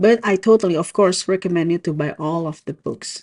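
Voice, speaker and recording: With an Indonesian accent, a woman talks at a moderate pace and medium pitch with ordinary pitch variation, recorded dry and close with no echo against a quiet background. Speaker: book vlogger. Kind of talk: casual book review vlog.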